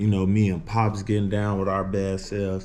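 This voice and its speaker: In a room with audible echo, a man speaks with a fairly low pitch and a dark, mellow tone at a moderate pace. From US Midwest, Illinois. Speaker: vlogger. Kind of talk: casual vlog talk to camera. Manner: casual, filler-heavy.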